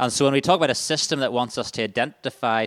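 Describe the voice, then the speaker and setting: Ordinary in pitch variation and very fast in pace, a man's speech is captured on a very clean recording with a silent background. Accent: Northern Irish. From Northern Ireland, County Armagh. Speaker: charity staff workshop leader. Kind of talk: workshop presentation. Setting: stage with audience.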